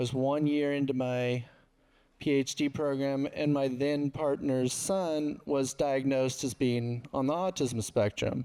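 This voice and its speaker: Fairly high for a man, his voice has a dark, mellow tone, fairly even intonation, very even loudness and a fairly slow pace. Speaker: researcher. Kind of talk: panel discussion. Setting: stage with audience. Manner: soft-spoken.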